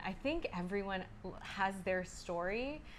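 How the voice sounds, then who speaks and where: A woman with an American accent is heard with audible room echo. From US West Coast, San Francisco Bay Area. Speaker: nightclub operations manager. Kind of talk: casual interview chat.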